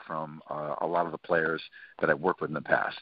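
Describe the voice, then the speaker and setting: A man is talking over a quiet background. The sound is dry with no echo. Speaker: interview guest. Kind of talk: interview answer. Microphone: phone line.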